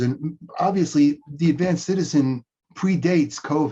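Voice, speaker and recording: A man with a dark, mellow tone and ordinary pitch variation. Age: 60s. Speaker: chiropractor and coach. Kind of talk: interview. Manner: repeats words at starts of sentences.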